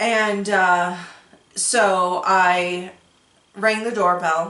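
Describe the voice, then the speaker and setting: In a room with audible echo, a woman speaks at a very slow pace, her medium-pitched voice bright and sharp in tone. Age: 40s. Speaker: podcast host. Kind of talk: casual chat. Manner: animated.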